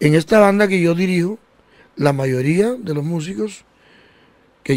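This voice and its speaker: A man talks at a fairly slow pace in a high voice. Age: 60s. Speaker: band director and musician. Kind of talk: radio interview.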